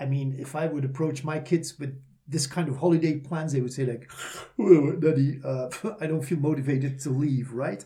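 A man's fairly high, somewhat breathy voice with a dark, mellow tone, a non-native accent, fairly even intonation and a moderate pace. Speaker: corporate trainer and podcast co-host. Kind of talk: casual chat.

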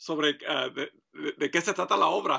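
A man does the talking. His delivery is rather unhurried. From Mexico (Michoacán), raised in US from age 7. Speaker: printmaker and painter. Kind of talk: interview. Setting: studio. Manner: halting, many fillers.

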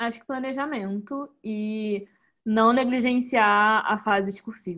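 In a normal speaking voice, the speaker goes at a fairly slow pace with ordinary pitch variation against a quiet background. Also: woman. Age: 20s. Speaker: successful candidate for the diplomatic service exam. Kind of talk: interview in a live online talk.

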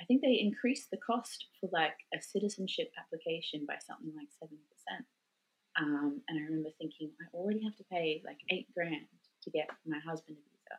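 With an Australian accent, a woman speaks at a fairly quick pace and fairly low pitch, her intonation lively and her loudness swinging widely. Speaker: Australian stuck overseas, mother. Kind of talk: interview.

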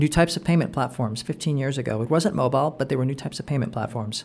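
Talking at a very fast pace, a man with a Californian accent sounds somewhat breathy, his fairly high pitch showing ordinary variation. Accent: American (Californian). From Southern California (Anaheim). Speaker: startup investor and entrepreneur. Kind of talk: interview. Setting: in person at a coworking space. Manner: frequent fillers and repetitions.

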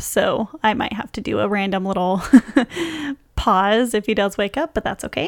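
A woman speaks softly. Her intonation is fairly even. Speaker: podcast host. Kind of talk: casual chat. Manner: soft-spoken.

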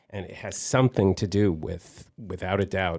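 This is an unremarkable speaking voice, a man's, pitched fairly low. His pitch varies in an ordinary way over a very clean recording with a silent background. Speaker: baseball historian. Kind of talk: radio interview. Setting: radio studio.

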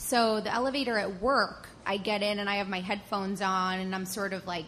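Over noticeable background noise, the woman's intonation stays fairly even. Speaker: TV traffic reporter. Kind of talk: storytelling on stage. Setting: stage with audience.

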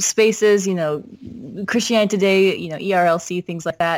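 A woman with an American accent, fairly low pitch and monotone, flat intonation. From Minnesota, US Midwest. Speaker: author and church staff member. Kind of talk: casual interview conversation.

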